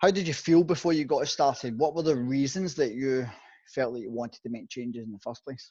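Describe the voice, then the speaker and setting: With a dark, mellow tone at a medium pitch, a man speaks at a fairly quick pace with ordinary pitch variation and big swings in loudness against a quiet background. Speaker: fitness and nutrition coach. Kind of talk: interviewer.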